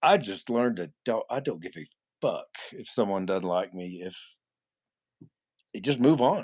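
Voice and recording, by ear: A man speaks at a fairly slow pace with a fairly low pitch. His voice is nasal with a slightly husky edge, and his intonation is lively.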